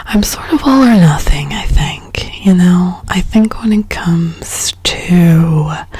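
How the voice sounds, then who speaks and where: A soft-spoken woman with a fairly low voice talks very slowly in a calm tone, with lively intonation and hardly any pauses. Noticeable background noise is present. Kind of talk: ASMR soft-spoken ramble while coloring. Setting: close-mic studio recording with binaural microphone. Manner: soft-spoken, calm, rambling.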